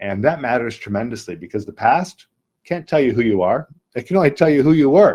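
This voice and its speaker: Using a dark, mellow tone with vocal fry, a man talks at a fairly quick pace with very wide pitch swings. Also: fairly high pitch for a man. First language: not English. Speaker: spiritual teacher. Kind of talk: sales pitch.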